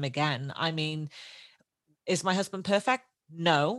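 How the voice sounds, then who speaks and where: On a very clean recording with a silent background, a woman speaks loud and fairly slowly, her fairly low pitch, bright, sharp tone and lively intonation all clear. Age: 30s. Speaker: podcast host. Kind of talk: casual chat.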